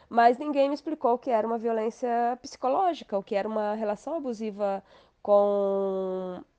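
This woman has an unremarkable speaking voice, fairly high in pitch with ordinary variation, talking at a moderate pace in a dry, close recording with no echo and a quiet background. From Brazil, interior of Paraná. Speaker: author. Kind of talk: interview testimony.

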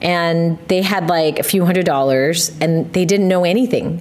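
A woman's fairly low-pitched voice moves at a moderate pace as noticeable background noise carries on. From US, Korean American family. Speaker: podcast host. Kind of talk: casual chat.

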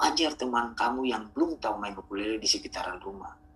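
Over music in the background, a man with a medium pitch talks at a fairly quick pace with lively intonation. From Ambon, Maluku. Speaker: community founder and ukulele teacher. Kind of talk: casual interview. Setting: remote call.

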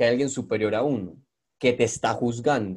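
A man speaks at medium pitch in a plain, everyday voice. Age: young. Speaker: podcast host and video creator. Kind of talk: casual interview chat.

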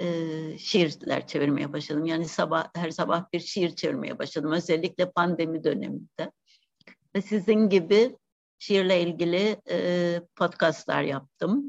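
With a plain, everyday voice, a woman speaks at a fairly slow pace with a fairly low pitch and ordinary pitch variation. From Cyprus. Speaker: poet. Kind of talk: interview.

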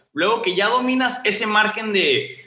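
In a raised, projected voice, a man talks at a fairly quick pace with lively intonation. His tone is bright and sharp, with audible room echo. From Mexico, Sonora (Ciudad Obregón). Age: 20s. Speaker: law student and social entrepreneur. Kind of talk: interview. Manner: casual, filler-heavy.

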